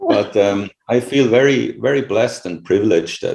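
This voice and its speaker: Here a man speaks with a non-native accent. His tone is dark and mellow. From Switzerland (rural). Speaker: professor. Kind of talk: interview. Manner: halting.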